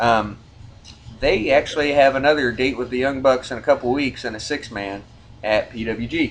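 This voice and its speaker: At a moderate pace, a man talks at a medium pitch with ordinary pitch variation. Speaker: wrestling podcast host. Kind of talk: rankings countdown chat. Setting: studio. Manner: animated, stumbling over words.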